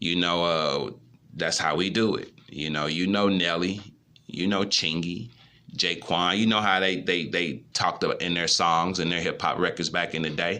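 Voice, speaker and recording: A man talks at a moderate pace with a very deep, low pitch and a bright, sharp tone. His intonation stays fairly even, and there is audible room echo. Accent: American. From US Midwest, St. Louis. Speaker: YouTuber, motivational speaker. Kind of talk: motivational monologue. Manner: casual, conversational.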